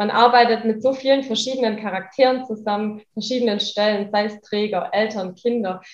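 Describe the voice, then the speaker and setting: A plain, everyday voice from a woman, fairly quick and fairly even in intonation. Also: fairly high pitch for a woman, hardly any pauses. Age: 20s. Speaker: daycare center manager, social worker. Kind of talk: interview.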